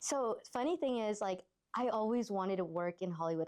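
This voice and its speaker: Speaking at a fairly quick pace, a woman with an American accent keeps a medium pitch and ordinary pitch variation. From Los Angeles. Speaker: stuntwoman and actress. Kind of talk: interview answer. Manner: casual, candid.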